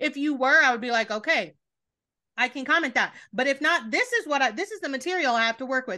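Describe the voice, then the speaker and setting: A woman's raised, projected voice, high, bright and sharp, animated and lively in intonation, at a very fast pace over a quiet background. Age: 30s. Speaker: podcast host. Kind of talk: casual chat. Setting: remote call.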